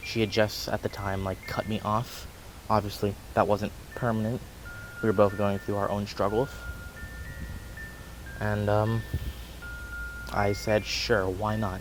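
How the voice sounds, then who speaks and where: Music plays in the background as a man speaks with fairly even intonation. His pitch is fairly low, and he takes long, frequent pauses. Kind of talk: personal story told to camera. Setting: outdoors.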